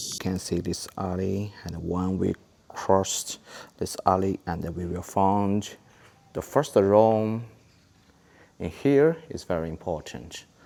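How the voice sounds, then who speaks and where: A dark, mellow tone at a very slow pace, with ordinary pitch variation and long, frequent pauses. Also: man, very deep, low pitch for a man. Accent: Chinese. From China. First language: Chinese. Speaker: travel vlogger. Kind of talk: casual walking tour talk to camera.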